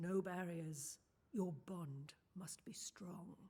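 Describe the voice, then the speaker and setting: At a very slow pace, a put-on character voice holds a middle pitch. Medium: video game. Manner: cryptic, calm, warmly mysterious.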